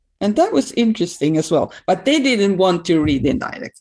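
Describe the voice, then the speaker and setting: With a Swedish accent and lively intonation, a woman speaks at a moderate pace. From Sweden. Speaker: systemic practitioner with a doctorate. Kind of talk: interview conversation. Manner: halting.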